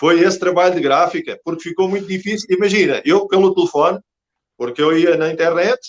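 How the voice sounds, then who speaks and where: This man's voice sits high and carries lively intonation. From Portugal. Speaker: Portuguese immigrant telling his story. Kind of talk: interview. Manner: halting.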